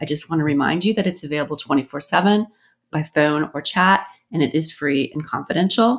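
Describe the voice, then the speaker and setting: A woman speaks in an unremarkable speaking voice, fairly low in pitch with ordinary pitch variation. The recording is very clean, with a silent background. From US Southwest. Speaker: podcast host, government program analyst. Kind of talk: conversational interview.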